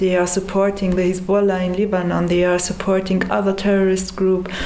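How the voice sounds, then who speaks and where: A woman's medium-pitched voice with monotone, flat intonation, plus audible room echo and noticeable background noise. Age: 30s. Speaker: activist. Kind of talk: interview.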